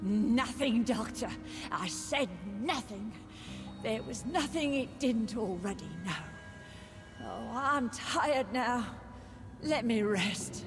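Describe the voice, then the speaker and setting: Clear background noise runs beneath a put-on character voice that moves at a fairly slow pace. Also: female-sounding voice, fairly high pitch for a woman. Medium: machinima. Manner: eerie, sing-song, brooding.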